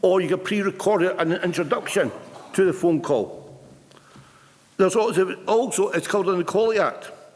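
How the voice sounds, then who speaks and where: A man talks fairly quickly in a high voice, his intonation fairly even, while noticeable background noise carries on. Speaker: retired union representative and stammering advocate. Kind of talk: conference speech. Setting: stage with audience. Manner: halting.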